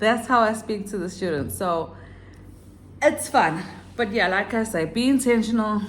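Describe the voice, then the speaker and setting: A woman with a fairly high pitch talks at a moderate pace with ordinary pitch variation. Long, frequent pauses break up her speech, and audible room echo surrounds it. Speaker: online English teacher and vlogger. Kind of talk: casual vlog tutorial.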